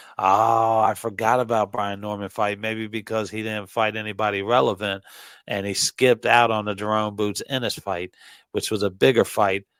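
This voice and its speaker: In a very clean recording with a silent background, a man with a fairly low pitch speaks at a moderate pace in a monotone, flat intonation. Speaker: boxing podcast co-host. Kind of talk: casual chat. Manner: stumbling over words at times.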